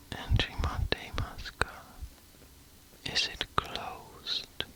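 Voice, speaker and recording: Whispering at a very slow pace, a man keeps a calm tone over noticeable background noise. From Switzerland. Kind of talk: ASMR sleep whisper, casual educational talk. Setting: close binaural microphone, under a blanket. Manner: whispered, soft-spoken, calm, slow.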